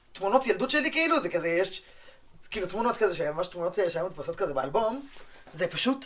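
Talking at a very fast pace, a man with a high pitch is heard over noticeable background noise. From Israel, West Bank settlement. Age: 20s. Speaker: law student, settler. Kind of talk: podcast interview.

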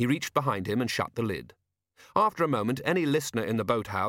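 Someone is doing plain reading aloud. The background around them is quiet.

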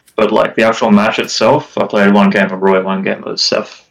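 A man's fairly low, monotone, flat voice at a fairly quick pace. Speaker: competitive gamer guest. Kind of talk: casual chat.

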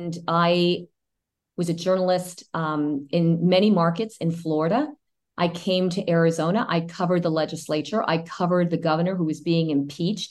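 Intonation stays fairly even as the words come at a moderate pace. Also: woman, fairly low pitch for a woman. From US-born to Cuban immigrant parents. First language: Spanish. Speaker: former TV journalist, congressional candidate. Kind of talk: interview.

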